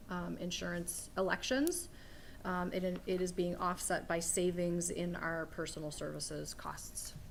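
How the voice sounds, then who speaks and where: A woman at a medium pitch is heard with audible room echo. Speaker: human resources director. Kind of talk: committee meeting presentation. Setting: government committee meeting. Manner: loud.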